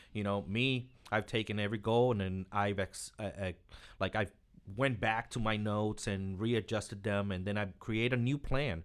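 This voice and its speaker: A man speaks in a normal speaking voice at a moderate pace, fairly low in pitch with fairly even intonation, on a very clean recording with a silent background. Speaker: author. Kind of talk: casual chat.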